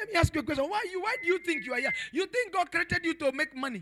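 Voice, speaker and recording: A man's extremely high-pitched, raised, projected voice, bright and sharp in tone, animated, with lively intonation at a very fast pace. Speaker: preacher. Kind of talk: sermon. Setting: church. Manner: animated, repetitive, exhortative pulpit delivery.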